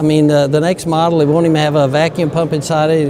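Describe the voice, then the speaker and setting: A man talks very fast in a fairly high, flat monotone. Audible room echo and noticeable background noise fill the recording. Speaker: medical device inventor and company CEO. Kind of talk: interview. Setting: conference.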